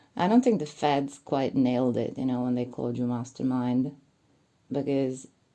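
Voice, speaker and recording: A woman speaks with a non-native accent and a very deep, low pitch. Her tone is dark and mellow. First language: not English. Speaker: commentary YouTuber. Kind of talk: monologue commentary video. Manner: casual, hesitant with fillers.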